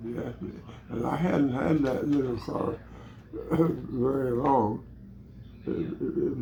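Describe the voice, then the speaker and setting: Noticeable background noise sits behind a man with an American accent. He talks at a fairly slow pace with ordinary pitch variation. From Illinois. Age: 80s+. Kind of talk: casual storytelling. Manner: hesitant, repetitive.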